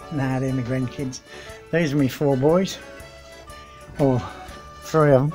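With clear music in the background, a man talks at a fairly slow pace in a fairly high pitch, his intonation fairly even. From Australia. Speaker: retired champion sheep shearer, shearers' cook. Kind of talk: casual interview answer. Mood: proud, relaxed. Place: home room. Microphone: phone near.

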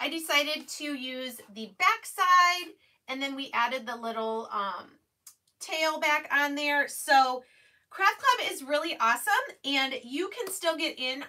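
Raising and projecting her voice, a woman talks at a fairly slow pace with lively intonation and big swings in loudness. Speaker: craft livestream host. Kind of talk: casual livestream chat and product demo. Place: home room. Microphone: phone near.

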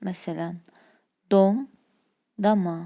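A woman speaks at medium pitch with a dark, mellow tone and fairly even intonation. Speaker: language teacher. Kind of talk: lecture.

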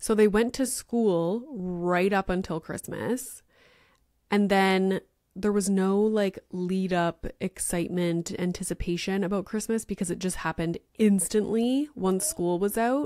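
Fairly slow speech from a woman with ordinary pitch variation, over a quiet background, in a dry sound with no echo. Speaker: podcast host. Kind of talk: casual podcast monologue. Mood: chatty, lightly joking. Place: home room. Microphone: studio mic.

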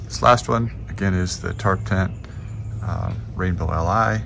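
There is noticeable background noise behind the speaker. He is a man with a very deep, low pitch. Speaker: gear owner reviewing tents. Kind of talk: casual gear overview. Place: forest. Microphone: phone near.

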